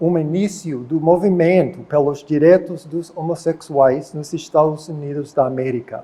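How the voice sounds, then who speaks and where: The voice has an English accent and a dark, mellow tone. The pace is fairly slow, with ordinary pitch variation. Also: man. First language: English (speaking Portuguese). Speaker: professor. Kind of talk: lecture. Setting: auditorium.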